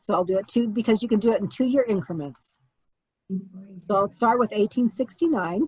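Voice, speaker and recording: A somewhat breathy voice with lively intonation moves at a fairly quick pace, recorded dry and close with no echo. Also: woman, fairly high pitch for a woman. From Germany. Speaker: family history teacher. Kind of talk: tutorial.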